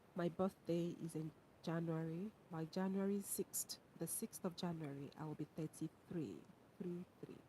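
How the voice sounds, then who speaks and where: Somewhat breathy and dark, mellow in tone, this voice moves at a moderate pace with fairly even intonation. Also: woman, fairly low pitch for a woman. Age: 30s. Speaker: university lecturer and livestreamer. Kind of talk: livestream chat reading viewer comments. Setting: live stream. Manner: casual, conversational.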